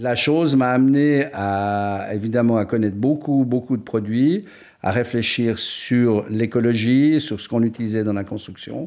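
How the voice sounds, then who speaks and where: Speaking at a fairly slow pace, a man with a medium-pitched voice and ordinary pitch variation is heard in a very clean recording with a silent background. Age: 60s. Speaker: painter-decorator. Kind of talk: interview. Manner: hesitant, many fillers.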